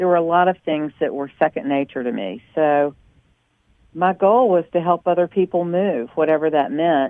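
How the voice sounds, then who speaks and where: A woman with a Southern accent, fairly low-pitched, with lively intonation and a moderate pace. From US South, North Carolina. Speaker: small business owner. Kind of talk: interview.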